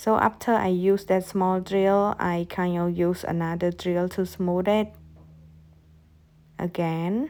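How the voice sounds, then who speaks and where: With a non-native accent, a woman speaks at a medium pitch in a dark, mellow tone and fairly even intonation. The recording is very clean, with a silent background. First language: not English. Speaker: nail technician. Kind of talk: tutorial. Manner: halting.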